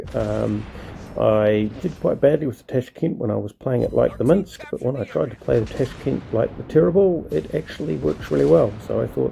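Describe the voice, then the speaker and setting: A man keeps a moderate speed as noticeable noise fills the background. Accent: New Zealand. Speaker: gaming video creator. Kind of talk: gameplay commentary. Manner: casual, many filler words.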